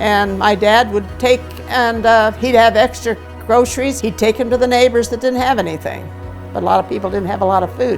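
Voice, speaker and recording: Against music in the background, a woman speaks at a fairly quick pace with an Upper Midwest accent. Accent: Upper Midwest American. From Wisconsin. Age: 80s+. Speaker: insurance phone caller. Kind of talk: interview answer.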